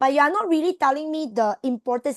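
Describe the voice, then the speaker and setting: A woman's lively intonation comes through a dry, close sound with no echo and a quiet background. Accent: Malaysian. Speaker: tutor. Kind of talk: online tutoring class. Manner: fast.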